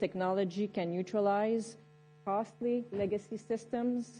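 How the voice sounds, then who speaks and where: Speaking with a Quebec accent, a woman has a dark, mellow tone, medium pitch, a moderate pace and fairly even intonation. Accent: French Canadian accent in English. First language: French. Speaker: military general. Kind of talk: panel discussion. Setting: conference stage with audience. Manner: hesitant, many fillers.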